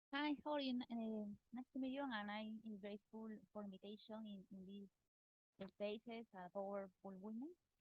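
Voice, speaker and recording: Recorded with a dry, close sound and no echo, a woman speaks at a moderate pace in a fairly high, somewhat breathy voice with ordinary pitch variation. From Peru. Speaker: economist. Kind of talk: online interview. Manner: halting, hesitant.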